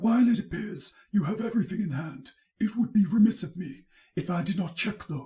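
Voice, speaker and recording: A man's put-on character voice, high-pitched, with lively intonation at a fairly quick pace. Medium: read story. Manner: commanding, cold, steely.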